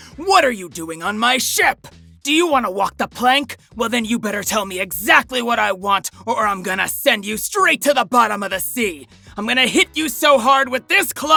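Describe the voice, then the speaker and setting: Using a put-on character voice at a fairly high pitch, the speaker goes at a moderate pace over faint background music. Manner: swaggering, edgy, threatening.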